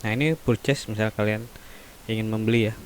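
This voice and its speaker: A man speaks quietly at a fairly slow pace with a fairly low pitch. Noticeable background noise runs beneath him. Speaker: teacher. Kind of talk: tutorial. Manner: many fillers (eh, ya). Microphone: poor microphone.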